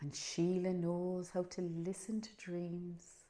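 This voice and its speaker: A woman speaks with a Cork accent in a medium pitch. Her tone is dark and mellow. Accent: Irish, Cork. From Ireland. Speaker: storyteller. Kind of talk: oral storytelling.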